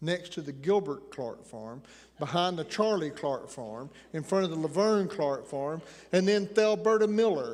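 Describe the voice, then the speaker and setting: Speaking in a high pitch with a slight Appalachian accent, a man keeps a moderate pace and lively intonation. His loudness swings widely, and the room echo is audible. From Appalachian Tennessee. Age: 60s. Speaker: preacher. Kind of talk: sermon.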